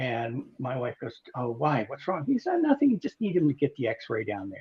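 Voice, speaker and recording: A man talks at a fairly quick pace in a fairly high pitch. His voice is somewhat breathy. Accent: American. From Okinawa, Japan (US military family). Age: 60s. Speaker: cancer and heart attack survivor. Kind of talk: personal story in interview. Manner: animated storytelling.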